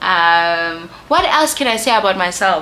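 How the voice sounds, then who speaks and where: Noticeable background noise runs beneath a woman's speech. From South Africa, Soweto (Johannesburg). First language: a South African Bantu language (not English). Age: 20s. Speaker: YouTuber, lifestyle and beauty content creator. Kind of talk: casual Q&A vlog while doing makeup. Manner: casual, with many fillers.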